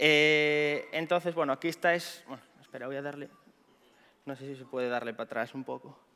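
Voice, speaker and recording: A man talks at a fairly quick pace with a fairly high pitch and a bright, sharp tone. His intonation is fairly even, but his loudness swings widely. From Galicia, Spain. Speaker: pentester and conference speaker; conference speaker. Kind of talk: conference talk. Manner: fast. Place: stage.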